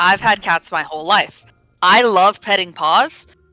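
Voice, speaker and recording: The intonation rises and falls in a lively way. Behind it, music plays. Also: woman. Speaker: stream guest. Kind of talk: casual chat. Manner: loud.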